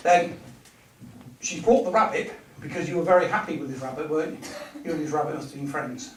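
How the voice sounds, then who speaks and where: A man with an English accent speaks at a very fast pace with long, frequent pauses, lively intonation and big swings in loudness, amid audible room echo and noticeable background noise. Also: fairly high pitch for a man. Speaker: medium. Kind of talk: clairvoyance demonstration. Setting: village hall with audience.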